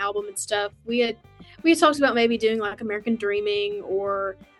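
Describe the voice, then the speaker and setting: Over music in the background, a woman with a Southern US accent speaks at a moderate pace, her fairly high pitch showing ordinary variation. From West Tennessee, USA. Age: 20s. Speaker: country singer. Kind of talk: interview answer.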